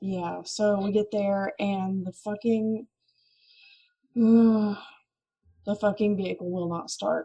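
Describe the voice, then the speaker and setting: A woman at medium pitch speaks very slowly with long, frequent pauses and big swings in loudness. Her tone is dark and mellow, somewhat breathy, with fairly even intonation. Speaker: podcast co-host. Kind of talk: casual chat, storytelling.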